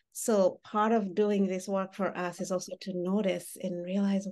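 Dark, mellow tones from a woman, pitched in the middle range. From Uganda (born in Rwanda). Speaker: mental health therapist leading a workshop. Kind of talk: interactive workshop with guided exercises. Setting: video call. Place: home room. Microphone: video call.

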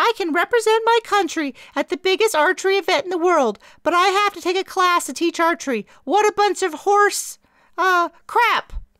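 A woman uses a put-on character voice at an extremely high pitch. She moves at a moderate pace. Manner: mocking, complaining.

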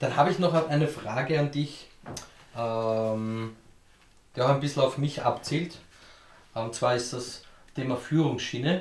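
A medium-pitched man with an Austrian accent speaks at a fairly slow pace with long, frequent pauses. His pitch varies in an ordinary way, and room echo is audible. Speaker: YouTube woodworking channel host. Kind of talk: casual Q&A chat. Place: workshop.

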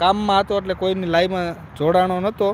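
This man talks at a high pitch. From Gujarat, Saurashtra (near Chotila). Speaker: village vlogger and farmer. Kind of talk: live stream chat. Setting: outdoors in a farm field.

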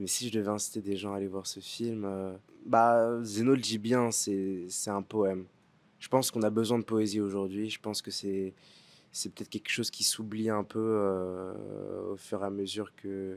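At a moderate pace, a man speaks at a fairly low pitch with monotone, flat intonation. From France, Paris suburbs; France. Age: 20s. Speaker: actor. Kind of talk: interview. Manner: halting, many fillers and repetitions. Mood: thoughtful, warm, sometimes smiling. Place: garden. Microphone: handheld.

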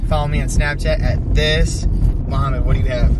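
A man speaks over loud background noise, with a dry sound and no echo. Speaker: vlogger. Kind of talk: casual vlog chat. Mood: playful, joking. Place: car. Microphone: phone near.

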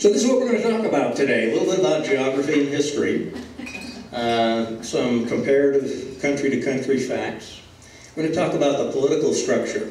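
A man talking at a very fast pace, with audible room echo and light background noise. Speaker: guest lecturer. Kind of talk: lecture. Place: hall.

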